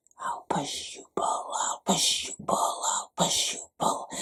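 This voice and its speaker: In a put-on character voice, a man talks at a fairly slow pace, extremely high and raspy. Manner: nasty, creepy.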